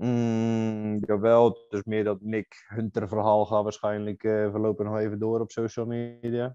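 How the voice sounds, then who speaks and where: Speaking at a fairly slow pace with hardly any pauses, a man delivers his words in a monotone, flat intonation, his fairly low voice dark and mellow in tone. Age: 20s. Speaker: bodybuilding competitor. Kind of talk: casual chat.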